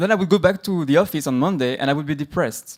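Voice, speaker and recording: Here a man speaks with a French accent. His pace is fairly quick and his pitch varies in an ordinary way. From France. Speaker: conference speaker, tech company employee. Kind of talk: conference talk.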